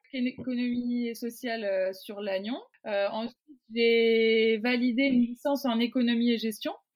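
Using a plain, everyday voice, a woman speaks at a moderate pace with a fairly high pitch and fairly even intonation. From Brittany, Côtes d'Armor. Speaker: professional rugby player. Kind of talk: interview.

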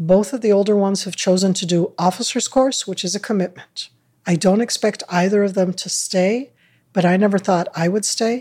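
In an American accent, a woman talks at a moderate pace and medium pitch. Her tone is dark and mellow, and her intonation stays fairly even. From Northern California, US. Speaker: retired army colonel and former government media advisor. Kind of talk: interview.

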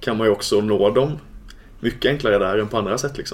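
With intonation that stays fairly even, a man talks at a middle pitch. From Småland, Sweden. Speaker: church youth leader. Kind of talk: casual chat. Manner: hesitant, many filler sounds.

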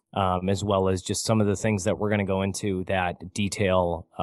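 A man with an American accent and a fairly low pitch, at a moderate pace, against a quiet background. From US Midwest, Michigan. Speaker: finance podcaster. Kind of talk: interview conversation.

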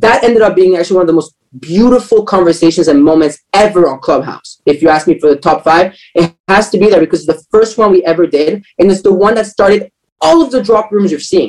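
Speaking very fast in an energetic tone, a man uses a high pitch with ordinary pitch variation. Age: 20s. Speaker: entrepreneur, social media marketer and community host. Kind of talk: podcast interview.

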